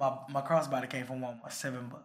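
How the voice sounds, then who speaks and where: A man's fairly high voice moves along at a moderate pace. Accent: American. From East Texas (Port Arthur area). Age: 30s. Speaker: store general manager. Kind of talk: casual interview.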